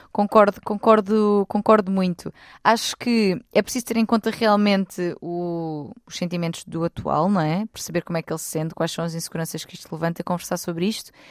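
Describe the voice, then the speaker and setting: With a European Portuguese accent, the voice moves at a fairly quick pace with hardly any pauses, ordinary pitch variation and big swings in loudness, in a very clean recording over a silent background with a dry, close sound and no echo. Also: woman, medium pitch for a woman. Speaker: relationship expert. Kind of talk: casual chat.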